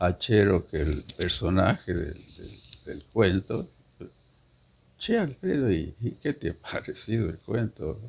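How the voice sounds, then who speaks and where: A man talks at a very slow pace in a somewhat breathy voice. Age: 80s+. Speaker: poet. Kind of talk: interview.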